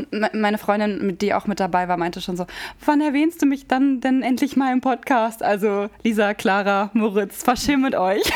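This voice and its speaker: A woman with a fairly high voice and lively intonation talks at a moderate tempo, with noticeable noise around her. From Hameln, Lower Saxony, Germany. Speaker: podcast co-host. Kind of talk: casual chat. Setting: coworking space studio.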